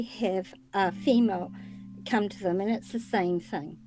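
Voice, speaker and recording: A woman with a New Zealand accent, moderate pace and ordinary pitch variation. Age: 60s. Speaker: retired nurse and medium, podcaster. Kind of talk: interview.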